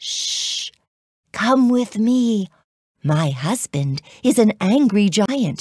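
A put-on character voice, female-sounding and fairly high in pitch. The pace is very slow, with long, frequent pauses. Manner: hushed, secretive.

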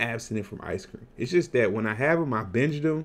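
Male speech full of lively intonation. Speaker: weight loss vlogger. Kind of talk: casual vlog chat. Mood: earnest, sometimes laughing. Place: home room. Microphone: webcam.

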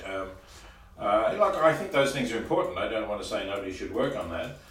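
Audible room echo surrounds this man's voice. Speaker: interviewee. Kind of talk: interview answer. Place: meeting room. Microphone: camera far.

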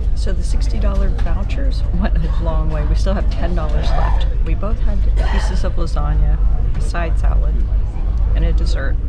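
A woman speaks at a moderate pace over clear background music. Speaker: travel vlogger. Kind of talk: casual vlog chat. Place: boat. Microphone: phone near.

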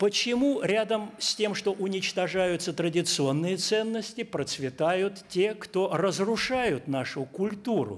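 A man's high voice at a very slow pace, with hardly any pauses, very even loudness and ordinary pitch variation. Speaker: veteran cultural figure. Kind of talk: impassioned speech. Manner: emotional, declamatory. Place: meeting room. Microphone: podium.

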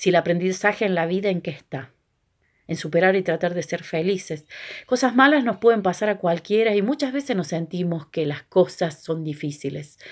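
Against a quiet background, a woman of medium pitch speaks at a moderate pace with lively intonation. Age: 40s. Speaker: video blogger. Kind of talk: personal reflection monologue. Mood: reflective, upbeat. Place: home room. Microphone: phone near.

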